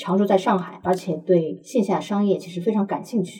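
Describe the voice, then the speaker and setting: Noticeable background noise sits behind a woman who talks at a fairly quick pace with a medium pitch. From Shanghai. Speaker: commercial real estate expert. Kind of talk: interview.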